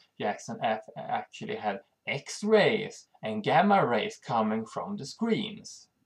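The speaker talks at a very slow pace in a Swedish accent. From Sweden. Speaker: channel host on health and EMF. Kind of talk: informational monologue. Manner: halting.

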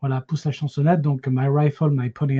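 A man at a medium pitch has a dark, mellow, somewhat breathy tone, recorded dry and close with no echo. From France, Paris region. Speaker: film enthusiast, podcast initiator. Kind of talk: casual panel discussion. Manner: halting, repetitive.

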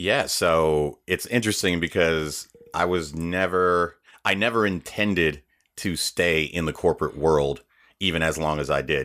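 On a very clean recording with a silent background, a man with a very deep, low pitch and a bright, sharp tone speaks fairly slowly with ordinary pitch variation. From US, Haitian immigrant family. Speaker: voiceover artist. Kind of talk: interview.

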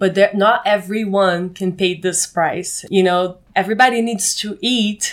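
A woman speaks at a medium pitch with a Brazilian accent. Her pitch varies in an ordinary way. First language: Portuguese. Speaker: co-living space manager. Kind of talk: interview. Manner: halting.

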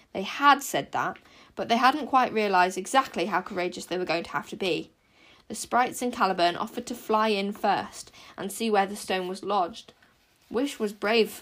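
A normal speaking voice, moderately paced and with ordinary pitch variation, on a very clean recording against a silent background. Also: woman. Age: young. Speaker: podcaster reading books aloud. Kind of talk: reading aloud.

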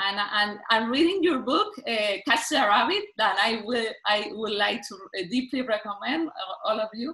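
With a Spanish accent, a woman speaks fairly slowly in a fairly high pitch, her tone bright and sharp and her intonation lively. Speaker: novelist. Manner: halting.

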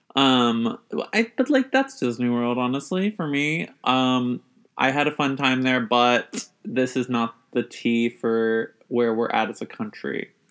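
Here a man talks at a fairly slow pace in an ordinary speaking voice, with medium pitch and ordinary pitch variation. The recording is very clean, and the background is silent. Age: 20s. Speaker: podcast co-host. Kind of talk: casual chat.

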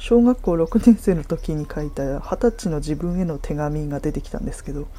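At a moderate pace, a woman talks in a dark, mellow tone with lively intonation. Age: 30s. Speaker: podcaster. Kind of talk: casual solo talk.

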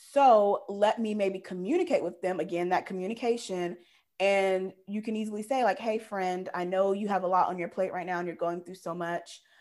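At a moderate pace and with fairly even intonation, an ordinary speaking voice is heard in a very clean recording with a silent background. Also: woman, medium pitch for a woman. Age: 30s. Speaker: podcast co-host. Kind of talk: casual chat.

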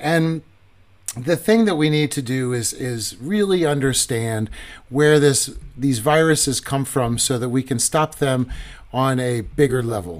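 Speaking in a plain, everyday voice, a man talks at a fairly slow pace with a medium pitch and lively intonation. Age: 40s. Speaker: podcast host on conservation. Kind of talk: live-streamed casual talk show. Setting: live stream with viewer comments. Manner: conversational with filler words.

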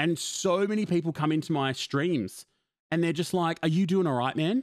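On a very clean recording with a silent background, a man talks fairly quickly in an ordinary speaking voice with ordinary pitch variation, the sound dry and close with no echo. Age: 20s. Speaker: podcast host and streamer. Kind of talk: casual chat.

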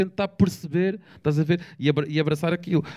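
This man has a dark, mellow tone and fairly even intonation. He talks at a moderate pace. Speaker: rapper. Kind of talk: casual chat.

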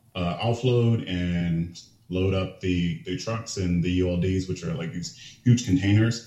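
A man's very deep, low voice carries a dark, mellow tone, is somewhat breathy, and shows ordinary pitch variation. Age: 20s. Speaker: powerlifter. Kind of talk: casual chat.

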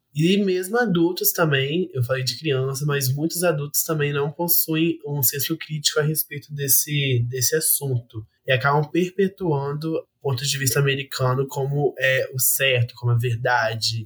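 With hardly any pauses, a man speaks at a moderate pace in a fairly high, somewhat breathy voice with ordinary pitch variation. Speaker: university student. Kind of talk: casual chat.

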